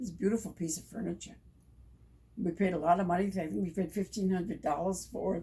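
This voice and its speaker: In an American accent, a woman speaks very fast with a dark, mellow tone, vocal fry and ordinary pitch variation. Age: 80s+. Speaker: former wartime factory worker. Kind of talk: interview answer.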